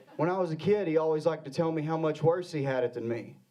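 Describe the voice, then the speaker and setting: A man with an American accent talks at a very fast pace. There is audible room echo. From Arkansas. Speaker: comedian. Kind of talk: stand-up. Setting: stage with audience.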